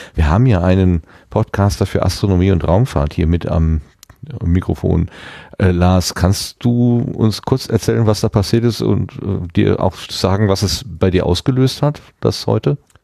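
With a very deep, low pitch and a dark, mellow tone, a man speaks at a fairly slow pace, his intonation lively and his loudness very even. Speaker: podcast host. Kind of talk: casual chat. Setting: studio.

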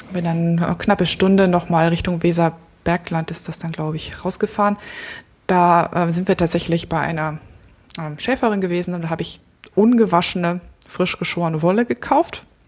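A woman with a fairly low pitch speaks in a calm tone at a moderate pace, her intonation fairly even. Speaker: photographer and podcaster. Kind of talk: casual chat.

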